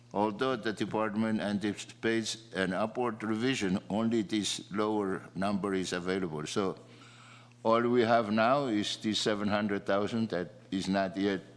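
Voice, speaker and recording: This man has a non-native accent and a fairly low pitch. He talks at a moderate pace with fairly even intonation. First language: not English. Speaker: legislator. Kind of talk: legislative floor debate. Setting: legislative chamber. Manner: halting.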